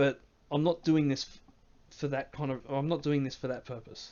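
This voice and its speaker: A man is speaking with an Australian accent. His pitch sits fairly high. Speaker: game mod developer and streamer. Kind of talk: live stream Q&A. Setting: live stream from home. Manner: hesitant, many fillers.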